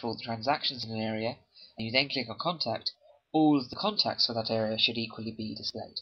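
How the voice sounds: A man with a slightly husky edge talks fast at a medium pitch with ordinary variation.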